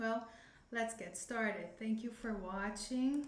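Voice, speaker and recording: In a Brazilian Portuguese accent, a woman speaks at a fairly high pitch and a fairly slow pace. Her intonation is fairly even, and room echo is audible. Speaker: English teacher. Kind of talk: live-streamed lesson. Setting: live stream. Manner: halting.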